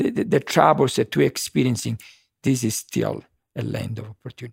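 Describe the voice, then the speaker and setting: A man with an Italian accent speaks at a medium pitch with vocal fry, the sound dry and close with no echo. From Sicily, Italy. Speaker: fashion designer. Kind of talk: casual interview. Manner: cheerful, warm.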